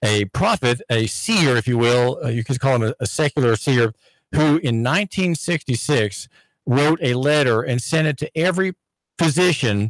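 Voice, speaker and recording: A man with a plain, everyday voice at medium pitch, lively intonation, a moderate pace and very even loudness, in a very clean recording with a silent background and dry, close sound with no echo. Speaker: blogger and radio host. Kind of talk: casual radio talk.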